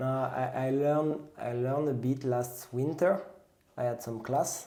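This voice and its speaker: In a French accent, a man with a medium pitch and a dark, mellow tone speaks at a fairly slow pace with fairly even intonation, and the room echo is audible. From France, southwest near the Pyrenees. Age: 30s. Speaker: pastry chef and trail runner. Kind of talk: casual interview chat. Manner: halting, with self-corrections.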